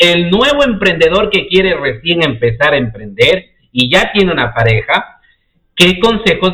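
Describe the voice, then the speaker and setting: Animated in tone, a man talks at a high pitch and moderate pace with very wide pitch swings. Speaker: podcast host. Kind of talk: live-streamed interview.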